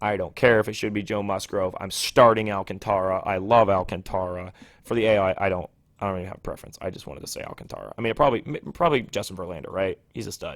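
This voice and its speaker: Very fast speech with ordinary pitch variation and big swings in loudness, on a very clean recording with a silent background. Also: man, fairly low pitch for a man. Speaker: sports podcast host. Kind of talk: casual solo podcast monologue. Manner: animated.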